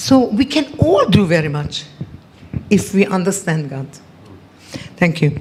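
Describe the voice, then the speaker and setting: With noticeable background noise behind her, a woman of medium pitch talks at a fairly slow pace with very wide pitch swings and long, frequent pauses. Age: 70s. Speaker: event speaker. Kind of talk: testimony. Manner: halting.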